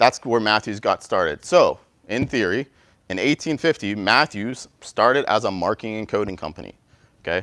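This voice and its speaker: With a dry sound, no echo, and a quiet background, a man speaks energetically at a moderate pace and medium pitch, with ordinary pitch variation. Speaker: company representative giving presentation; presenter. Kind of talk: interactive presentation to university class. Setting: university classroom with live audience. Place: classroom.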